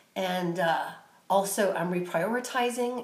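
Audible room echo accompanies talking delivered at a fairly slow pace. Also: woman. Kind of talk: casual vlog chat. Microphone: phone near.

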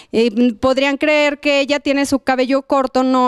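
Dry and close with no echo, this recording has a woman speaking at a high pitch. Her pace is fairly slow. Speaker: TV fashion show host. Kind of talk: studio TV chat.

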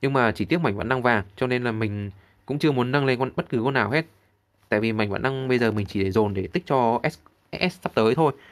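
Here a man speaks at a very fast pace. His pitch sits at a medium level. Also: ordinary pitch variation. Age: 30s. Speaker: gaming YouTuber. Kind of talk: game tutorial walkthrough.

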